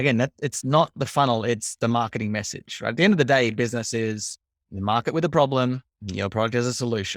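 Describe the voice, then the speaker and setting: Over a silent background in a very clean recording, a man with an Australian accent talks at a very fast pace at medium pitch with ordinary pitch variation. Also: dry, close sound with no echo. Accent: warm Australian. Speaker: marketing coach. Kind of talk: interview.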